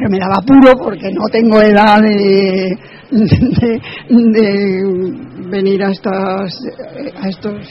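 A woman at a medium pitch speaks very slowly with fairly even intonation, long, frequent pauses and noticeable background noise. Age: 70s. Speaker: elderly blogger attendee. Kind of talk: casual interview.

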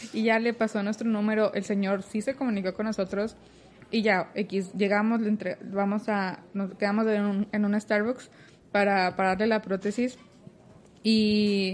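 A woman talks at a fairly slow pace in a medium pitch. Her intonation is monotone and flat, and her loudness stays very even. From Mexico, Torreón, Coahuila. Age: 20s. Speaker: biomedical engineering student and robotics mentor. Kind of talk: casual interview. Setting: office cafeteria, handheld mic.

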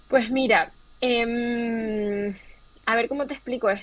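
This woman has an unremarkable speaking voice pitched fairly high. Her pitch varies in an ordinary way. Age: 30s. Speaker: fashion designer. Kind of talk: interview.

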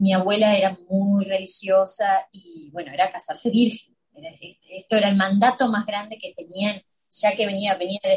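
Speaking with a Rioplatense accent, a woman talks at a fairly slow pace, somewhat breathy, with big swings in loudness. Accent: Argentine Spanish (rioplatense). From Argentina. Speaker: illustrator and designer. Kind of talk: interview. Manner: animated.

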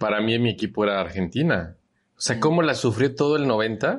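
A man speaks in a Mexican accent at a medium pitch. The background is quiet. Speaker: podcast co-host. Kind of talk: casual chat.

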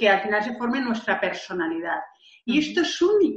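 Her pitch is fairly high. The woman's intonation is lively. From Valencia, Spain. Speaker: entrepreneur and author. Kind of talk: interview. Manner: expressive, gesturing.

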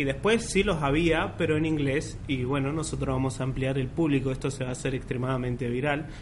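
Amid noticeable background noise and audible room echo, a man speaks at a fairly quick pace with a medium pitch and fairly even intonation. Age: 20s. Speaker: podcast co-host, psychology student. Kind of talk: casual chat.

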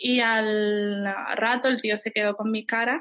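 Medium pitch and ordinary pitch variation from a woman. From Andalusia, Spain. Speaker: travel blogger. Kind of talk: interview.

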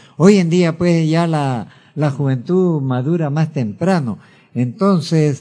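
With a dark, mellow tone and fairly high pitch, a man talks very slowly using lively intonation. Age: 80s+. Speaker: radio host. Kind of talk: radio show. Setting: studio.

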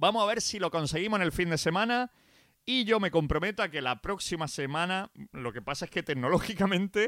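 Recorded very clean with a silent background and a dry, close sound with no echo, a man talks in an animated tone at a fairly quick pace. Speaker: radio DJ. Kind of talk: radio show presenting.

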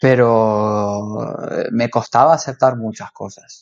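This man has a medium-pitched voice and a Rioplatense accent. His intonation stays fairly even. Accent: Argentine Spanish (rioplatense). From Argentina, Rosario. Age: 30s. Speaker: cook. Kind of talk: casual interview.

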